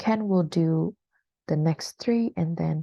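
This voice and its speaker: A woman speaks very slowly in a fairly low, somewhat breathy voice with a dark, mellow tone. The background is quiet. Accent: American. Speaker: English teacher. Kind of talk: online class. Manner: hesitant, many fillers.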